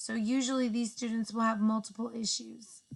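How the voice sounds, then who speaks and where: A woman speaks at a fairly high pitch in a somewhat breathy voice. Her intonation is monotone and flat. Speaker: education student. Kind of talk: class presentation narration.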